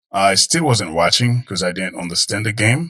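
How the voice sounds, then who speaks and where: A man with an American accent speaks in a bright, sharp tone with ordinary pitch variation. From outside the United States. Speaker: guest, football fan. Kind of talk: casual interview chat. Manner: halting, many fillers.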